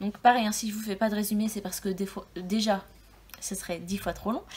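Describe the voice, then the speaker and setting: In a somewhat breathy voice of medium pitch, a woman speaks at a moderate pace with monotone, flat intonation. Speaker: book YouTuber. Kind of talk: casual video monologue. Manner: hesitant, many fillers.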